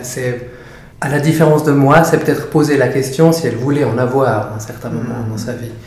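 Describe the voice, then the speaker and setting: Noticeable background noise and audible room echo surround a voice at a moderate pace with fairly even intonation. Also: man. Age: 30s. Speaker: doula for fathers, former lawyer. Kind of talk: interview. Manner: halting, many fillers and repetitions.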